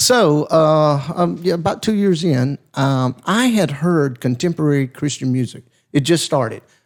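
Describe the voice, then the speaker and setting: A man with a Southern US accent speaks at a fairly high pitch and a fairly slow pace, with lively intonation. His loudness stays very even on a very clean recording with a silent background. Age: 60s. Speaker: pastor. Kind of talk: casual chat.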